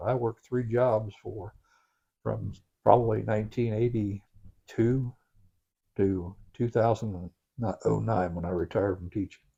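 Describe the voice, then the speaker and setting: A somewhat breathy man with an Ohio accent, dark and mellow in tone, fairly even in intonation, speaking at a fairly slow pace with long, frequent pauses. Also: fairly low pitch for a man. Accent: Ohio, Midwestern US. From Crooksville, Ohio. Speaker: county sheriff. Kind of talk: interview answer. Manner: casual, conversational.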